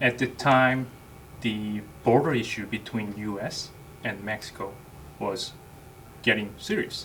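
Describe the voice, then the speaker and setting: Long, frequent pauses break up this fairly slow delivery in a Korean accent, the intonation fairly even. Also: man, medium pitch for a man. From South Korea. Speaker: army NCO. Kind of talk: interview.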